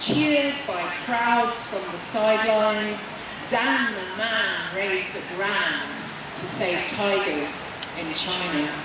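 A woman at a very slow pace amid loud background noise and audible room echo. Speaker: poet at rally. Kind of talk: poetry reading, spoken word tribute. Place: street. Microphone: camera far.

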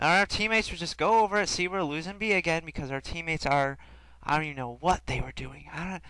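Projecting his raised voice, a man speaks at a fairly quick pace. His intonation is lively. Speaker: gaming commentator. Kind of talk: gameplay commentary with an angry rant about tips-and-tricks videos. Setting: recording over live gameplay. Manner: rapid-fire, indignant, sarcastic, emphatic repetition; animated, mocking, rhetorical questions.

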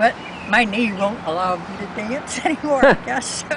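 A woman speaks at a fairly slow pace with ordinary pitch variation, the sound dry with no echo but marked by noticeable background noise. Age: 80s+. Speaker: interviewee. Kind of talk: interview answer. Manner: hesitant. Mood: warm, reminiscing. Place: garden. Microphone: camera far.

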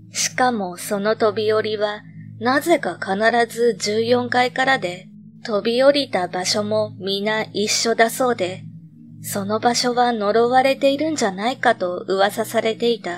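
A woman at a fairly high pitch and a fairly slow pace, ordinary pitch variation, with music in the background. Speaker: horror story narrator. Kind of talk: ghost story reading.

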